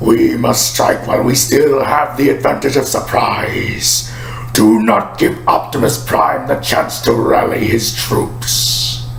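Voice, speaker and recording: Speaking at a fairly slow pace in a put-on character voice, a man with a medium-pitched voice is heard over clear background noise. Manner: commanding, shouting.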